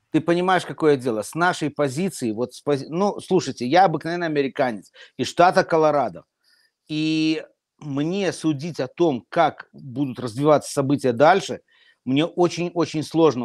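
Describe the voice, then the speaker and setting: A man's fairly high voice with lively intonation at a moderate pace, dry and close with no echo, on a very clean recording with a silent background. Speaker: talk show panelist. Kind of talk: live political discussion. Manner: emotional.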